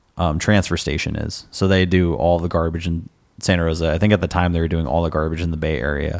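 Very clean, silent-background audio of a man with a Californian accent, very deep and low in pitch, fairly even in intonation, at a fairly quick pace. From US West Coast, Sonoma County, California. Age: 20s. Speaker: musician. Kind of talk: casual chat. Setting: stage with audience.

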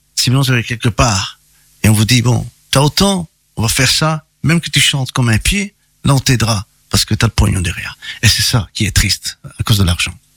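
A man at a medium pitch talks at a fairly quick pace, yet with long, frequent pauses. The sound is dry and close, with no echo. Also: lively intonation. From Belgium, Charleroi, Italian family. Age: 50s. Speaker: singer. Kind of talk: interview.

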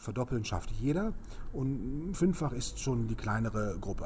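A man talks at a fairly slow pace in a room with audible echo. Noticeable background noise runs underneath. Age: 50s. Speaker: speed reading trainer. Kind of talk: interview.

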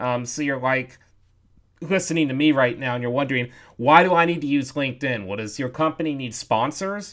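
A man speaks in a plain, everyday voice at a fairly quick pace with ordinary pitch variation. The recording is very clean, with a silent background. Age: 30s. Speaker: podcast host, digital marketer. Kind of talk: casual podcast monologue and interview.

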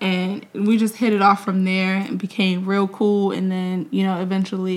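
A woman with a New York accent at a moderate pace, fairly even intonation and hardly any pauses. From New York (Mount Vernon). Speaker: podcast co-host. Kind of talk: casual chat. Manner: laughs often.

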